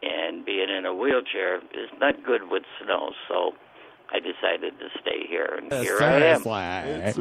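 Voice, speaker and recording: Noticeable noise sits in the background while a man talks very slowly. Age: 80s+. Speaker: caller, war veteran. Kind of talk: casual phone chat. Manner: halting, repeats words.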